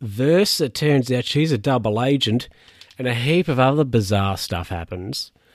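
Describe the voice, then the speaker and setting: Very clean recording with a silent background, featuring a man's lively intonation. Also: dry, close sound with no echo. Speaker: film podcaster. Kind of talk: solo film recap monologue. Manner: casual, hesitant with many fillers.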